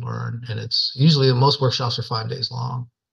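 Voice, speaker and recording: Speaking fairly quickly, a man with a medium-pitched voice keeps a monotone, flat intonation. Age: 60s. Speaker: bronze sculptor, former bull rider. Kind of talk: interview conversation. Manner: casual, folksy with fillers.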